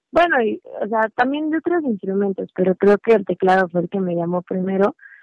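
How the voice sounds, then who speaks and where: A woman with an unremarkable speaking voice talks at a medium pitch with lively intonation. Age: 20s. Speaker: musician and hairstylist. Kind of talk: casual interview.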